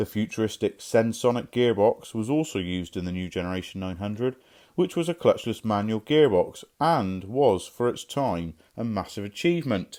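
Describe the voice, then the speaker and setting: Recorded very cleanly against a silent background, a man with a Somerset accent speaks at a moderate pace and medium pitch, his dark, mellow tone carried by lively intonation. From Somerset, England. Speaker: car mechanic presenting a restoration video. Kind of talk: scripted narration.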